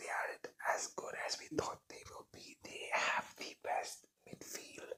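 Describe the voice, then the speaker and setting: Someone whispers at a fairly slow pace. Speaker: ASMR content creator. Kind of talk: ASMR football predictions, casual talk to camera. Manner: soft-spoken, whispered.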